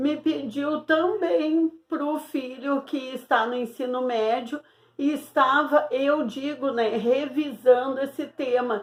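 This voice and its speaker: A woman speaks very slowly at a high pitch. Her pitch varies in an ordinary way. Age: 60s. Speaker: Portuguese teacher. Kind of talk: online lesson. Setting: home recording alone.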